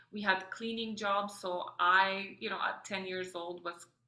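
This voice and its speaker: With a Polish accent, a woman talks at a fairly slow pace. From Poland, then Austria and Edmonton, Canada. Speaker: mother and entrepreneur. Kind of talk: podcast interview, personal story. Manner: many fillers and self-corrections.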